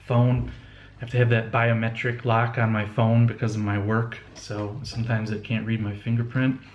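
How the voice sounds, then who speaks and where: There is audible room echo and noticeable background noise around a man speaking at a medium pitch. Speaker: homebrewing video blogger. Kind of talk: casual video blog. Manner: halting, many fillers and restarts.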